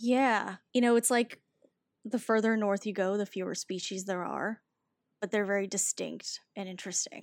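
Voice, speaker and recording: A woman mumbles with fairly even intonation, and the sound is dry and close with no echo. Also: medium pitch for a woman, moderate pace. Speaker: poet and writer. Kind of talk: casual interview chat with poetry reading. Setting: video call. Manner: mumbler, working to enunciate more.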